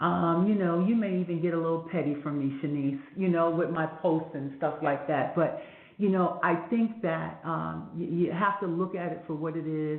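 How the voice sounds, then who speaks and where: Against noticeable background noise and audible room echo, a woman speaks at a fairly low pitch with fairly even intonation. Her moderate pace has hardly any pauses. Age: 60s. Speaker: fashion event producer. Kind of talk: podcast interview.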